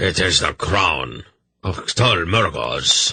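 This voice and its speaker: Very slowly, the man delivers his lines in a raspy, put-on character voice. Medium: read story. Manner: haughty and condescending.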